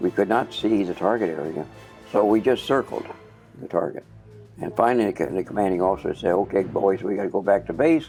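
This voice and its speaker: Music plays in the background. A man with an American accent speaks at a fairly low pitch. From Kansas City. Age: 80s+. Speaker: war veteran pilot. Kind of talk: interview answer.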